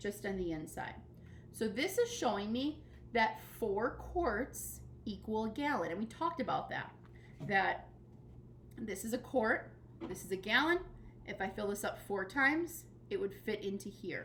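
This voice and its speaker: The woman speaks at a moderate pace. She leaves long, frequent pauses. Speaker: elementary school teacher. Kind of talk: recorded tutorial lesson.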